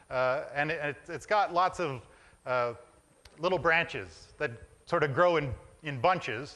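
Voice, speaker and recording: A man with a bright, sharp tone and a fairly high pitch speaks at a fairly slow pace with ordinary pitch variation, long, frequent pauses and a quiet background. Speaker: minister preaching a sermon. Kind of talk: church sermon to a congregation.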